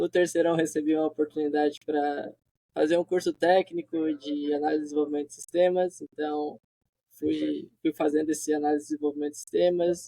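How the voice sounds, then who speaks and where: Speaking at a fairly quick pace, a man with a fairly high pitch and a dark, mellow tone keeps a monotone, flat intonation, recorded with a dry, close sound and no echo. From southern Brazil, Santa Catarina (Criciúma). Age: 20s. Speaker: software developer. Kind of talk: interview.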